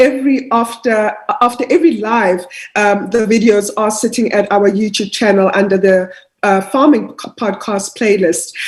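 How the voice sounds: A woman's voice has a slightly husky edge. Her intonation stays fairly even.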